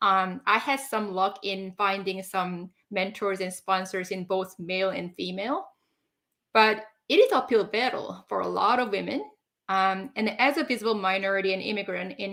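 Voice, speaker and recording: In a very clean recording with a silent background, a woman speaks at a medium pitch and moderate pace with a bright, sharp tone. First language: not English. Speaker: leadership coach. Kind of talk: casual chat. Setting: live stream.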